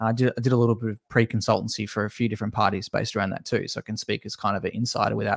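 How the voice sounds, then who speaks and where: At a very fast pace, a man talks with a fairly low pitch and monotone, flat intonation. The sound is dry and close with no echo, in a very clean recording with a silent background. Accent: Australian. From Tasmania, Australia. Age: 20s. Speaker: esports consultant. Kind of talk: casual interview.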